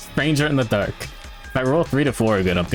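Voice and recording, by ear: Reading aloud in a natural voice is what this clip holds. Its pitch moves in a lively way.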